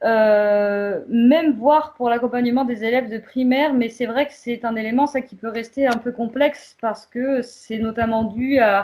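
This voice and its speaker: In a plain, everyday voice, a woman talks at a fairly high pitch and a fairly slow pace with fairly even intonation and hardly any pauses. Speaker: community association worker. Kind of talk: prepared presentation.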